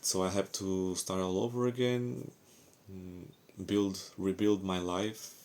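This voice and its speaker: With a Portuguese accent, a man speaks in a very deep, low pitch and fairly even intonation. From Portugal. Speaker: ex-Jehovah's Witness vlogger. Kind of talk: personal testimony. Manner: halting, with fillers.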